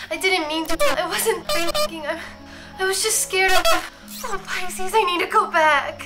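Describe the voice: Over faint music in the background, a woman puts on a character voice at an extremely high pitch, with a bright, sharp tone, lively intonation, and a fairly slow pace.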